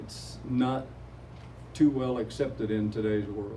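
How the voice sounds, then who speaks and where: A man's somewhat breathy, dark and mellow voice, very slow and flat in a monotone, with audible room echo. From Oklahoma. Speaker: retired teacher and community photographer. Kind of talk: interview.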